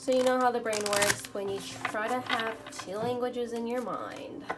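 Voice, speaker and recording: Against noticeable background noise and audible room echo, a woman speaks with a high pitch and fairly even intonation. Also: moderate pace. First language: Spanish. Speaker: tarot reader. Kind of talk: tarot reading.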